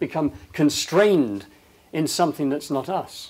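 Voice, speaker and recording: A man talks fairly slowly, his intonation lively. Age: 60s. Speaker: leadership speaker. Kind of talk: public talk.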